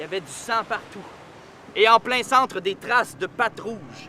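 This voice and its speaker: A man talks at a fairly slow pace in a Quebec accent, with ordinary pitch variation. Noticeable background noise runs behind him. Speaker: storyteller. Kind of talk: oral storytelling. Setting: outdoors. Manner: animated.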